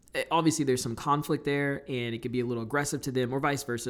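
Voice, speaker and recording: A man speaks with a fairly high pitch and monotone, flat intonation. The recording is very clean, with a silent background. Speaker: real estate investor. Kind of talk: tutorial. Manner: fast; loud.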